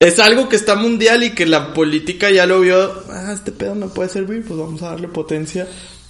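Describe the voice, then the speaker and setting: The speech moves at a fairly quick pace with ordinary pitch variation and big swings in loudness. There is noticeable background noise. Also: man, high pitch for a man. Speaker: podcast co-host. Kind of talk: casual chat.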